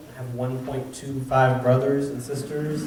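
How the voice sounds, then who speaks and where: A man with a Texas Panhandle accent speaks at a moderate pace. There is audible room echo and noticeable background noise. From Texas, Amarillo. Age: 30s. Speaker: youth center director. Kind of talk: presentation to a civic club. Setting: club meeting with audience. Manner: casual, with fillers.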